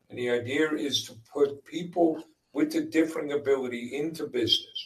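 With an American accent and a normal speaking voice, a man talks at a moderate pace with a fairly high pitch. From US Northeast, Long Island, New York. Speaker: business owner, father of co-founder. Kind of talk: interview. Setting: live stream.

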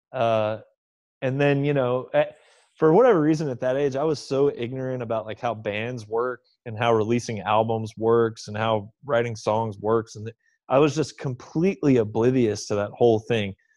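With an American accent and a normal speaking voice, a man talks at a moderate pace with ordinary pitch variation against a quiet background. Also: medium pitch for a man. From Oklahoma, US. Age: 30s. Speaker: metal musician. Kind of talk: interview.

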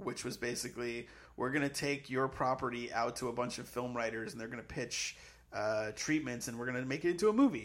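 The speaker has an American accent and an unremarkable speaking voice. The pace is fairly quick, with ordinary pitch variation. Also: man. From Massachusetts, near Boston. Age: 30s. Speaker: comedy writer. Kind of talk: casual chat.

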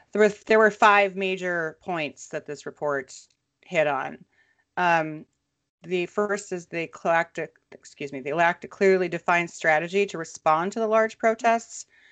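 An unremarkable speaking voice from a woman, fairly low in pitch, at a moderate pace with ordinary pitch variation and big swings in loudness, in a dry, close sound with no echo. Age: 40s. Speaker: podcast co-host. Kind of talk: casual chat.

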